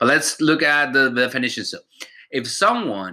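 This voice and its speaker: A man with a medium pitch and a bright, sharp tone speaks at a moderate pace with lively intonation. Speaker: teacher. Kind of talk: recorded vocabulary lesson. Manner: informal, conversational.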